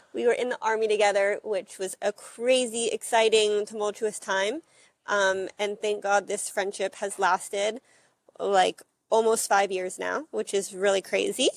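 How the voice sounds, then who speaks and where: Speaking at a fairly slow pace with a Texas accent, a woman at medium pitch keeps her intonation fairly even, and the sound is dry and close with no echo. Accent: American, Texas. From Texas, Dallas. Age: 20s. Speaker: former soldier, immigrant to Israel. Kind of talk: casual interview chat.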